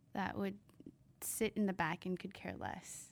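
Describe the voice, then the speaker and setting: A woman with a General American accent talks at a moderate pace in a very deep, low pitch with vocal fry. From San Diego, California. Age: 20s. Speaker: podcast co-host. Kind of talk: casual chat. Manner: laughs often.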